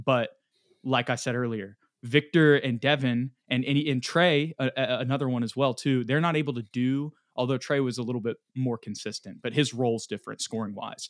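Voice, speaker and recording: A man with a plain, everyday voice at a medium pitch, speaking at a fairly quick pace with fairly even intonation. The sound is dry and close with no echo, on a very clean recording over a silent background. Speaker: sports podcast host. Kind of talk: casual sports recap discussion.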